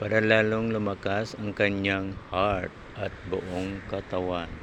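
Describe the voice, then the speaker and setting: Over noticeable background noise, a man speaks at a very slow pace. His fairly low voice is monotone and flat. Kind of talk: vlog narration.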